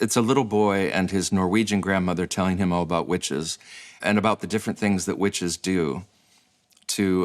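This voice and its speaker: With an American accent, a man talks at a fairly quick pace in a fairly low pitch. The recording is very clean, with a silent background. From US Midwest, Michigan. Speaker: podcast host, musician. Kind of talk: casual chat.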